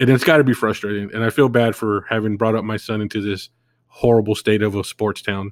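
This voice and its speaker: A man with an American accent has a normal speaking voice, fairly low in pitch with fairly even intonation. He moves at a fairly quick pace in a dry, close sound with no echo. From California. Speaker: podcast host. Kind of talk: solo monologue podcast.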